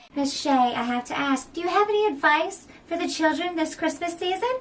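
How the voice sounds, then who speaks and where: A put-on character voice, high in pitch, moves at a fairly quick pace. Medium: stage play. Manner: eager, gushing.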